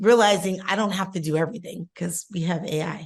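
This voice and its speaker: A woman speaks at a medium pitch with ordinary pitch variation. Her voice is somewhat breathy. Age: 50s. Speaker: podcast co-host. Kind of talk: casual chat.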